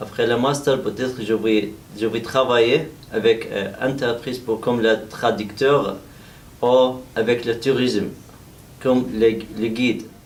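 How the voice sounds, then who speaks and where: At a very slow pace, a man speaks with long, frequent pauses. His pitch is medium and his intonation fairly even. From Iraq. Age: 30s. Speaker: adult French language trainee. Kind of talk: self-introduction speaking exercise. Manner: halting with hesitations.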